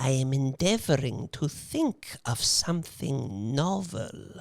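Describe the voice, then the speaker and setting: This put-on character voice sits at a low-to-middle pitch. The delivery is fairly slow. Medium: audio drama.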